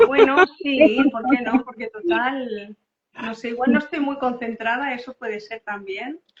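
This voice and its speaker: Loudness swings widely while pitch moves in an ordinary way, delivered at a fairly slow pace in a dry, close recording with no echo. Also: woman, high pitch for a woman. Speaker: co-host of parenting talk. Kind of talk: casual chat.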